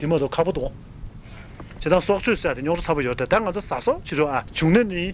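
Over noticeable background noise, a man with a high voice races along at a very fast pace with lively intonation. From Tibet. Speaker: Buddhist monk. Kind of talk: sermon.

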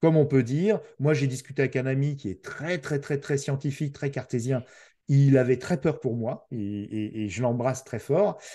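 A somewhat breathy man with a dark, mellow tone, moderate pace and ordinary pitch variation, over a quiet background. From France. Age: 50s. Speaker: podcaster. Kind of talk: casual chat. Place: home room. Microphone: video call.

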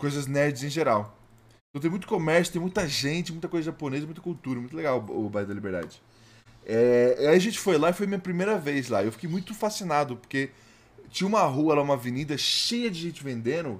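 Amid noticeable background noise, a man talks at a fairly quick pace in an animated tone with a fairly high pitch and lively intonation. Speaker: VTuber streamer. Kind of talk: live gaming stream chat. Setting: home studio live stream.

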